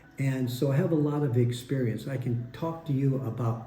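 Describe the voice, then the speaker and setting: The voice is dark, mellow and somewhat breathy. It moves at a fairly slow pace with fairly even intonation. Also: man. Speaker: retired expat YouTuber. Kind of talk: casual talk to camera.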